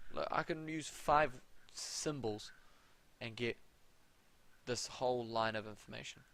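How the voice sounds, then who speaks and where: A man with a New Zealand accent speaks at a medium pitch and a fairly slow pace. His delivery has long, frequent pauses and ordinary pitch variation. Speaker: maths tutor. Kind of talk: live tutorial. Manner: casual. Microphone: audio problems at start.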